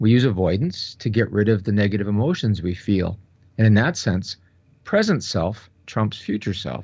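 With an unremarkable speaking voice, a man talks at a moderate pace, his pitch fairly low and his intonation lively. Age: 60s. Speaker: professor and researcher. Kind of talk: interview.

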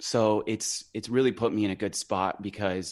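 Someone with a Western US accent speaks with fairly even intonation over a quiet background. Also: man. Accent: American, Western US. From Idaho (small farm town). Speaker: singer-songwriter. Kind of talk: casual interview.

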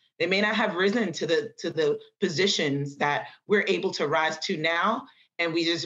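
A woman with an American accent talks at a moderate pace in a normal speaking voice, fairly low in pitch, with ordinary pitch variation. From New York City, the Bronx. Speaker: electrical engineer. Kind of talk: interview.

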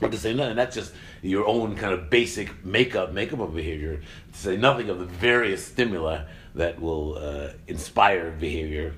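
A man's very deep, low voice at a moderate pace, with lively intonation and audible room echo. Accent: American. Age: 60s. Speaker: science communicator and podcast host. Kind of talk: casual intellectual discussion. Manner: halting.

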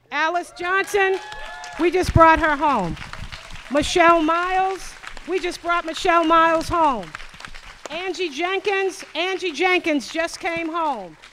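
Over crowd noise in the background, a woman with an American accent and an extremely high pitch talks at a fairly slow pace with long, frequent pauses. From Boston, Massachusetts (Roxbury). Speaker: activist, former lawyer. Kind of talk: panel talk. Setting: stage with audience. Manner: animated.

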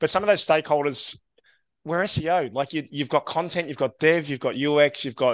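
A man speaks with an Australian accent against a quiet background. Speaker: SEO agency co-founder. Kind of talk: casual interview. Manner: upbeat, affirming.

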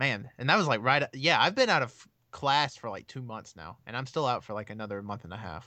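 Against a quiet background, a man with a Southern US accent talks fairly quickly at medium pitch, his bright, sharp, animated tone carrying lively intonation and big swings in loudness. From Alabama, US South. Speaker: wrestling fan, podcast guest. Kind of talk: casual chat.

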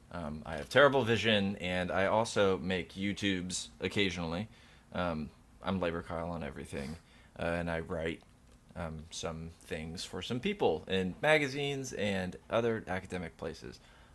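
A man talks at a moderate pace in a very deep, low pitch. His intonation is lively. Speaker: podcast co-host guest. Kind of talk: casual banter and long analytical discussion.

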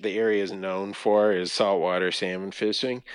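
A man talks at a moderate pace with a fairly low pitch. The background is quiet. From Canada, British Columbia (Vancouver, Fraser Valley). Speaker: conservation organization CEO. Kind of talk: interview. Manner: halting, many fillers.

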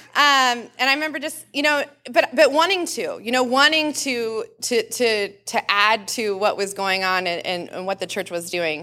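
In a very clean recording with a silent background, a woman speaks at a moderate pace in a high, bright, sharp voice with very wide pitch swings. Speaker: nurse practitioner. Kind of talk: sermon. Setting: church.

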